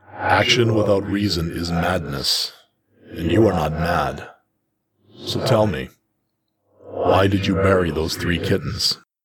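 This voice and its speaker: Putting on a character voice, a man growls in a stern tone at a very deep, low pitch, speaking at a fairly slow pace with long, frequent pauses. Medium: read story. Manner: measured, stern, probing.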